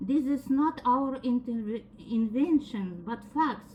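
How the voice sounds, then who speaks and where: Speaking at a very slow pace with a strong non-native accent, a woman uses a high pitch with ordinary variation over noticeable background noise. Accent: strong foreign. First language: not English. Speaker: defendant. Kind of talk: court testimony.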